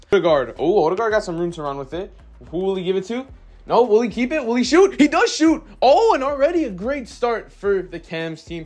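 Upbeat and energetic, a man talks at a fairly quick pace with very wide pitch swings and big swings in loudness as music plays in the background. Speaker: gaming YouTuber. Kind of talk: live play-by-play commentary over game footage, then casual YouTube chat. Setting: video game footage with voiceover. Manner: casual, upbeat, energetic.

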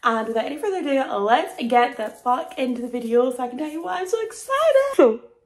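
A woman with an American accent, high-pitched, at a very fast pace with hardly any pauses, very wide pitch swings and big swings in loudness. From Scotland. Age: 20s. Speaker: professional dancer. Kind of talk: casual vlog talk to camera. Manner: excited, hyper. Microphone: phone near.

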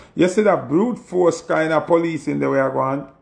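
A man against a quiet background. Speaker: music artist commenting. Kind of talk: casual vlog commentary. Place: home room. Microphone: phone near.

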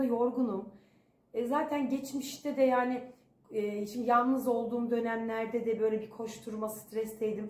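Audible room echo surrounds a woman who talks at a fairly slow pace with ordinary pitch variation. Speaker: vlogger. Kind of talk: casual vlog chat. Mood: tired, reflective. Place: home room. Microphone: phone near.

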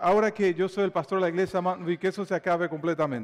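Against a quiet background, a man speaks at a high pitch. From Dominican Republic. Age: 40s. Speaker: pastor. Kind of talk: sermon. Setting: church. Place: church. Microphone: lapel.

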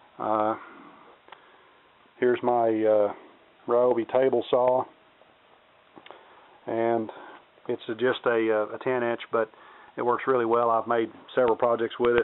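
A man speaks at a fairly slow pace with long, frequent pauses. His medium pitch shows little movement, and his tone is clear and smooth.

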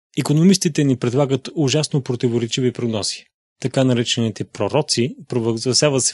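Somewhat breathy, a man speaks at a fairly quick pace with ordinary pitch variation, in a dry, close sound with no echo against a quiet background. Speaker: narrator reading a translated sermon. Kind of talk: reading aloud.

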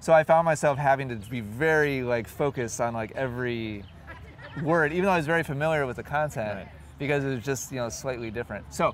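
A man talking very fast with ordinary pitch variation, in a dry sound with no echo, with light background noise. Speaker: interviewee. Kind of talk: interview answer. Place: open country.

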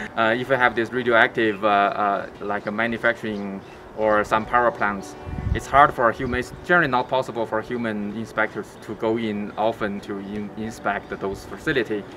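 A man speaks at a moderate pace in a fairly low pitch with fairly even intonation, music playing in the background. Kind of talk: interview answer. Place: open country. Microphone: lapel.

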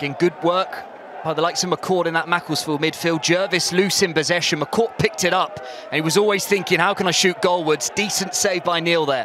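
Through noticeable background noise, a man speaks at a fairly quick pace and high pitch, the sound dry with no echo. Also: ordinary pitch variation. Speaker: match commentator. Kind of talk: live football commentary. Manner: brisk, fluent play-by-play delivery, clipped with rising energy at chances. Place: stadium.

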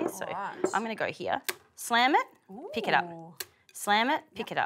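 Noticeable background noise sits under speech delivered at a fairly quick pace. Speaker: cooking show host. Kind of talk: tutorial. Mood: cheerful, upbeat. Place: studio. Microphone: lapel.

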